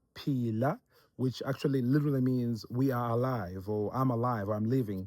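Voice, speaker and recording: In a Zimbabwean accent, a man speaks at a fairly quick pace with a medium pitch and fairly even intonation. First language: Ndebele. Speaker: missionary. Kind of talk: casual instructional chat. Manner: halting, many fillers.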